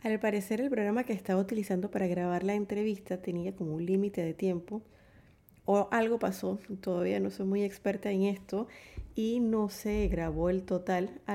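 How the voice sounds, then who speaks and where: Speaking at a moderate pace, a woman uses a medium pitch and fairly even intonation. Her tone is dark and mellow. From Panama, Chiriquí. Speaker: poetry podcast host. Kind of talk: podcast intro and outro.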